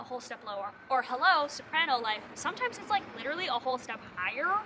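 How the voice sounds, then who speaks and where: Amid noticeable background noise, a woman uses a raised, projected voice at a high pitch, speaking at a very fast pace with very wide pitch swings. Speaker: musical theatre audition coach. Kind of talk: casual tutorial vlog. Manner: animated.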